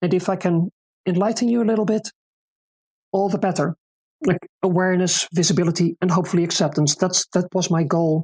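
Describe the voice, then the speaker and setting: A woman with a Dutch accent and a somewhat breathy, medium-pitched voice speaks at a fairly quick pace with long, frequent pauses, fairly even intonation and very even loudness, the sound dry and close with no echo. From Netherlands, Utrecht province. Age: 40s. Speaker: disc golf player and volunteer. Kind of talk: interview.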